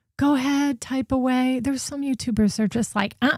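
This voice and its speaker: On a very clean recording with a silent background, a woman with an American accent speaks in a high voice with an animated tone. The sound is dry and close with no echo, and her pitch varies in an ordinary way. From New Jersey, US. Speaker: true crime livestream host. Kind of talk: casual livestream commentary.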